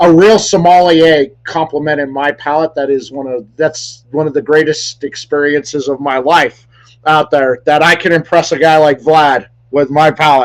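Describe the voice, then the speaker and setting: Fairly high in pitch, this man has a plain, everyday voice. He talks at a moderate pace with fairly even intonation. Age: 40s. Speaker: cigar review show host. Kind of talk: casual interview chat. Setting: live stream show.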